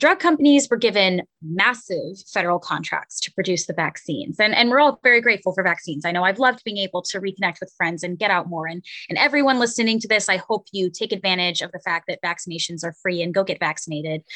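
Speaking in an unremarkable speaking voice, a woman talks at a fairly quick pace with medium pitch and lively intonation, the sound dry and close with no echo. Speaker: media and digital coordinator. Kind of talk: radio interview.

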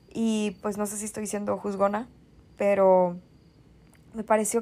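A woman talks fairly slowly in a very clean recording where the background is silent. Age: 20s. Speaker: podcast host. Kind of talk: solo monologue podcast.

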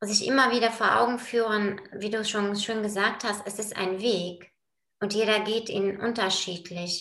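In a room with audible echo, a woman speaks in a bright, sharp tone with monotone, flat intonation. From Bulgaria. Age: 40s. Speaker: project manager in construction, yoga practitioner. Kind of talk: casual interview. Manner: hesitant, many filler sounds.

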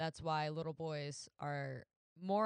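A woman with a plain, everyday voice speaks at a fairly slow pace and a fairly low pitch. The sound is dry and close, with no echo. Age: 20s. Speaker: solo podcast host. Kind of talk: casual stream-of-consciousness monologue. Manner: rambling with many fillers and laughs.

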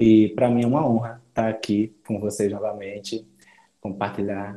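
With a dark, mellow tone, a man speaks in fairly even intonation. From Brazil, João Pessoa, Paraíba. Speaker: program ambassador. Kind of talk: casual group video chat. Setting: video call.

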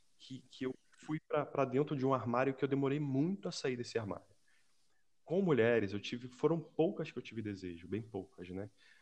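A man speaks at a moderate pace and medium pitch. His intonation is lively. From Brazil (Rio de Janeiro). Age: 40s. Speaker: civil servant. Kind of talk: casual chat.

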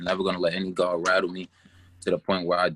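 A man talks at a fairly quick pace with a New York accent. The sound is dry and close, with no echo. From Brooklyn, New York (Canarsie). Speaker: esports gamer. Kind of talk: casual interview. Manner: hesitant, many fillers.

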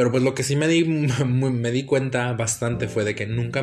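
At a medium speed, a man's somewhat breathy voice holds fairly level intonation. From United States. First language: English (speaking Spanish). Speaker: podcast host. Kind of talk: casual solo monologue. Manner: halting, many fillers.

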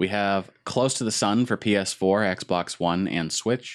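On a very clean recording with a silent background, a man with an ordinary speaking voice talks fairly slowly at a fairly low pitch. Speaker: gaming podcast host. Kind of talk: casual chat.

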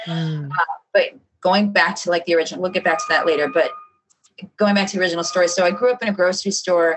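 Talking at a very fast pace, a woman with an American accent keeps a medium pitch and fairly even intonation. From South Side Chicago. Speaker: running store specialist. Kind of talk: casual interview.

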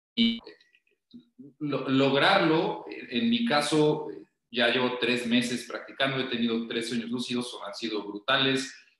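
Audible room echo surrounds a man speaking at medium pitch and a fairly slow pace with fairly even intonation. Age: 30s. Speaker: podcast guest talking numerology and lucid dreams. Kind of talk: casual interview.

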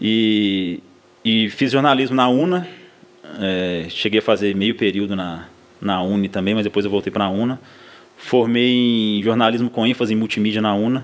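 In a plain, everyday voice, a man talks at a moderate pace with a fairly low pitch and ordinary pitch variation. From Minas Gerais, Brazil (south of Minas, then Ouro Branco). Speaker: football club social media staffer. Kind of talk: casual chat.

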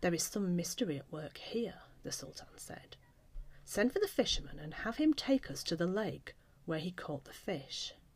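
A woman speaks in a dramatic tone, somewhat breathy, at medium pitch and a moderate pace, with very wide pitch swings and big swings in loudness. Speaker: author and storyteller. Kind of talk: fairy-tale audiobook narration. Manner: measured, storytelling cadence with dramatic voices.

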